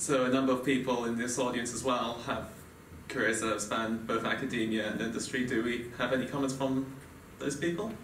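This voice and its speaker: A man at medium pitch and a fairly quick pace, fairly even intonation, audible room echo and light background noise. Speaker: panel moderator. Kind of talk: panel discussion. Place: hall. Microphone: podium.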